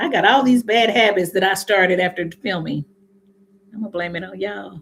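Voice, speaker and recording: This woman talks at a fairly quick pace with a medium pitch and ordinary pitch variation. Her loudness swings widely. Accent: American. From Indiana, US Midwest. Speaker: hair care youtuber. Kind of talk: casual live stream chat. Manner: fast; occasional stuttering.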